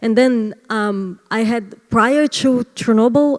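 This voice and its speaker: A woman talks with a Brazilian accent and ordinary pitch variation. The sound is dry and close, with no echo. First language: Portuguese. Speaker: artist. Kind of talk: interview. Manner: halting.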